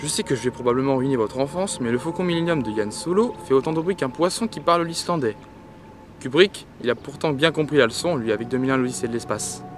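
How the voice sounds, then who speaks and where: Over noticeable background noise, a man with a medium-pitched voice talks at a very fast pace with lively intonation. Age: young. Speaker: DJ and music producer. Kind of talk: tutorial.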